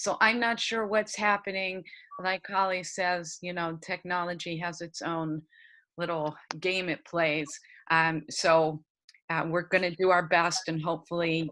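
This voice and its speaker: Against a quiet background, a woman with a Pennsylvania accent talks at a fairly slow pace in a bright, sharp tone, her pitch fairly low and her intonation fairly even. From Pennsylvania, US. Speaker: early education trainer. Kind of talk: webinar presentation. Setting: video call.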